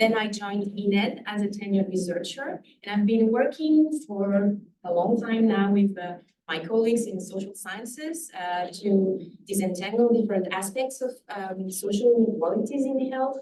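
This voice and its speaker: Medium pitch in a woman's voice, its pitch moving in an ordinary way. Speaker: epidemiologist, researcher. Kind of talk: lecture. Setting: lecture hall with audience. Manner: fast.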